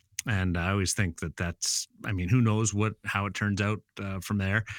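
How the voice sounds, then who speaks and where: Very deep and low, a man's voice moves at a fairly slow pace with fairly even intonation. The recording is very clean with a silent background, dry and close with no echo. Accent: western Canadian. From Brandon, Manitoba, Canada. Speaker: sports broadcaster. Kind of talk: casual interview.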